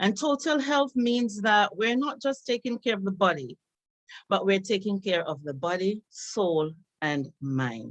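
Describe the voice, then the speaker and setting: A woman speaks with a Jamaican accent. Her pitch swings very widely. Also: medium pitch for a woman, fairly slow pace. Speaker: psychotherapist and nursing professor. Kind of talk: presentation talk.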